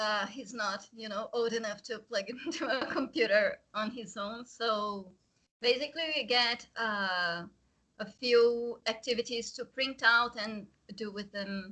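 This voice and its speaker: A woman with a Portuguese accent, fairly high-pitched and fairly slow, with ordinary pitch variation and big swings in loudness. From Brazil. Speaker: guest. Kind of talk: casual chat. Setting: video call.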